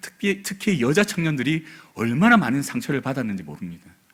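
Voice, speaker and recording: A soft-spoken man's medium-pitched voice with vocal fry and very wide pitch swings, moderate in pace, in a very clean recording with a silent background. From South Korea, Busan. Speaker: pastor. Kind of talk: sermon.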